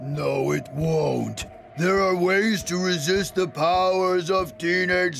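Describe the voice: Against clear background noise, a man performs a cartoonish character voice, high in pitch and at a fairly slow pace.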